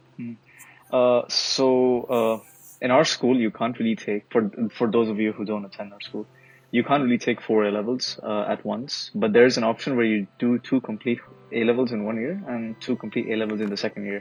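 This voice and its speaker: Noticeable background noise surrounds a man speaking at a fairly quick pace. His pitch is medium and his intonation fairly even. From Bangladesh. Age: 19. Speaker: student podcast guest. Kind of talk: casual chat.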